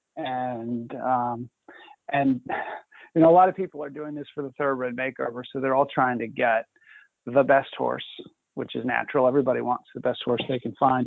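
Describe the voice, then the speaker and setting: Speaking at a medium pitch with fairly even intonation, a man keeps a moderate pace. His loudness swings widely, and he takes long, frequent pauses. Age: 50s. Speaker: president of a racehorse retraining nonprofit. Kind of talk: live webinar Q&A.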